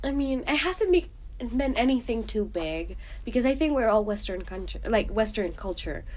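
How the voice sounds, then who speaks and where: A woman is speaking at a moderate pace. She has a slight Colombian accent. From Colombia, Bogotá. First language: Spanish. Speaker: university student. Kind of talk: interview. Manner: animated.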